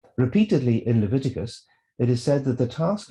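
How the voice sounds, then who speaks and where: A man with a Northern Irish accent speaks with lively intonation and a somewhat breathy voice. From Northern Ireland, Belfast. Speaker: theologian. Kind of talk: lecture.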